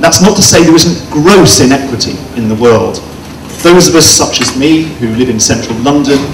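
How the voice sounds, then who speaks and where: A man at a moderate pace with ordinary pitch variation, amid noticeable background noise. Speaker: conference speaker. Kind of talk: lecture. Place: hall. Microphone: handheld.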